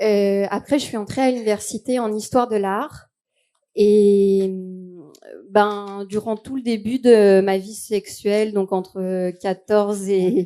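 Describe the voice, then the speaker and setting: In a dark, mellow tone, a woman speaks at a very slow pace with a medium pitch and fairly even intonation. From Quebec, Canada. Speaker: YouTuber and performer. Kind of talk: interview. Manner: hesitant, many fillers.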